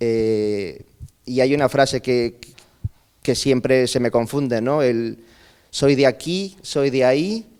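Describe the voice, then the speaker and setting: With long, frequent pauses, a man speaks at a very slow pace, his medium pitch showing ordinary variation. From Peru (north, then Lima), teens in Chile. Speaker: speaker at a migration conference. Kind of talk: conference talk, personal testimony. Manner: halting, with many fillers.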